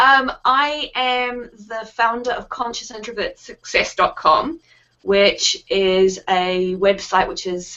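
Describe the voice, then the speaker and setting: A woman speaks with a New Zealand accent at a very slow pace. Her voice is fairly high, with ordinary pitch variation. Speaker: founder of a resource website for introverted business owners. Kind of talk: interview.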